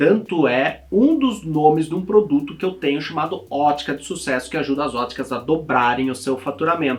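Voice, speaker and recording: With an animated tone and lively intonation, a man speaks at a moderate pace and a fairly high pitch. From interior of São Paulo state, Brazil (Itapetininga). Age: 30s. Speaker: optometrist and optical-shop business consultant. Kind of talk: direct-to-camera personal story video. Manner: casual, animated.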